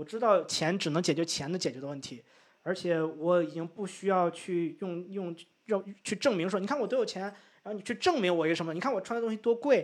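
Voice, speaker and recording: Fairly quick, high-pitched male speech, its pitch varying in an ordinary way. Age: 30s. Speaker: English-teaching content creator. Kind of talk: casual interview. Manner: hesitant, many fillers.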